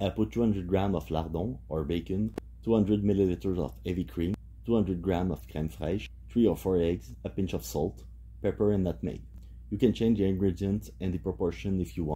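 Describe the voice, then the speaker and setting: At a fairly quick pace, a man with a very deep, low pitch, a dark, mellow tone and vocal fry makes very wide pitch swings. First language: French. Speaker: home cook. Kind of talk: tutorial.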